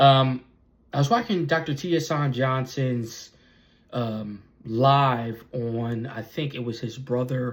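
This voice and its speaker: Each word comes out very slowly. There is a slight breathiness to the voice. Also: man, medium pitch for a man. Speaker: YouTuber, vlogger. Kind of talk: casual vlog monologue. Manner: halting, many fillers and repetitions.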